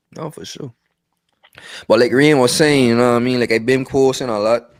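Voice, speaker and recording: A man in a strong Virgin Islands accent, medium pitch and fairly even intonation, fairly quick pace, with big swings in loudness. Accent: strong Virgin Islands Creole-tinged. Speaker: podcast co-host. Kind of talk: casual chat. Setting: live-streamed podcast. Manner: repetitive, stammering with frequent fillers.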